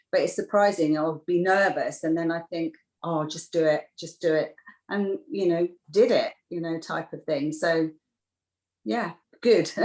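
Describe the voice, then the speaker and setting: With an English accent, a woman speaks at a fairly slow pace with long, frequent pauses. Her fairly low pitch shows ordinary variation. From UK. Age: 60s. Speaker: beauty therapist. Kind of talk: interview. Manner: halting.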